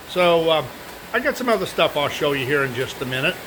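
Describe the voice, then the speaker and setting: A man's relaxed tone at a fairly high pitch and moderate pace, with ordinary pitch variation, over noticeable background noise. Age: 70s. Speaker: model railroad hobbyist. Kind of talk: casual show-and-tell video. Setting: indoors at home, upstairs workshop. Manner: relaxed, halting with many fillers.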